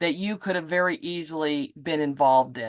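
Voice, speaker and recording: Here is a woman with an ordinary speaking voice, fairly low in pitch, with ordinary pitch variation. The sound is dry and close with no echo, and the background is quiet. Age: 60s. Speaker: podcast host. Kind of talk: casual chat.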